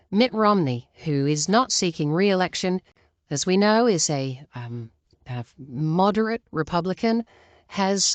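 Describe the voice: A woman speaks with lively intonation and a fairly low pitch. Her pace is fairly slow, and the sound is dry and close with no echo.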